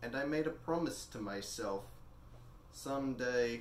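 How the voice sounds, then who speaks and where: There is audible room echo and light background noise. A man speaks with ordinary pitch variation. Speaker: actor performing a monologue. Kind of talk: dramatic monologue in character as a rich older man. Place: home room. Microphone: camera far.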